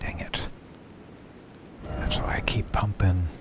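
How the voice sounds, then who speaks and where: A man whispers at a moderate pace. Noticeable background noise sits behind him. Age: old. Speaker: gaming streamer. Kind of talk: live game commentary. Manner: casual.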